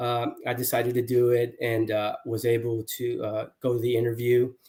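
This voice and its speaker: Somewhat breathy, a man with an American accent and medium pitch talks at a moderate pace in a monotone, flat intonation. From Houston, Texas. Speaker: sales executive. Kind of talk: casual interview chat. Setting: livestream.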